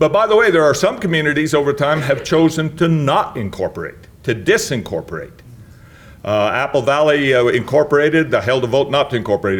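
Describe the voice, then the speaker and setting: Speaking at a moderate pace with lively intonation and an American accent, this is an unremarkable speaking voice on a very clean recording with a silent background. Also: man. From Utah, Murray. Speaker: municipal attorney. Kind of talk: lecture.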